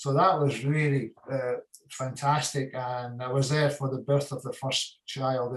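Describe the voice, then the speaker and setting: In a fairly high, monotone voice, a man speaks with flat intonation. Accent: Hebridean. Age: 60s. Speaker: retired whisky distiller. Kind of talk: interview answer.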